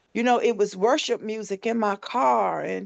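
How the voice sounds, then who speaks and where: In a quiet background, a woman's very slow speech carries lively intonation. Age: 50s. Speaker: shooting survivor and founder of a transitional home. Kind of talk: interview. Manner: animated.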